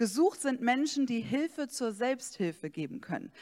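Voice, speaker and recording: A woman's normal speaking voice, lively in intonation and fairly slow, on a very clean recording with a silent background. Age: 40s. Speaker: pastor. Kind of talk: sermon.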